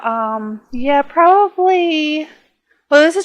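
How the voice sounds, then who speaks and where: A woman speaks with lively intonation in a very clean recording with a silent background. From northern US, near Canada. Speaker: gaming YouTuber. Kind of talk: casual Q&A chat. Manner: clear careful diction; hesitant, many fillers.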